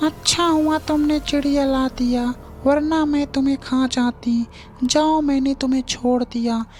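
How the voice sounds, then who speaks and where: A cartoonish character voice with a high pitch and menacing tone speaks at a very slow pace. Clear background noise runs underneath. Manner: cackling, menacing.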